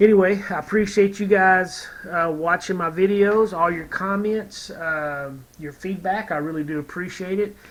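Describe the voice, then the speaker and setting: In a Texas accent, a man with a high pitch speaks at a moderate pace and with fairly even intonation. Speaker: scale model builder, YouTuber. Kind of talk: casual tutorial-style review. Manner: hesitant, many fillers.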